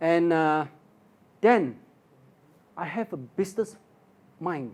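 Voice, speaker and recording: A man talks with very wide swings in pitch. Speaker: financial industry mentor. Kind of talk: motivational talk.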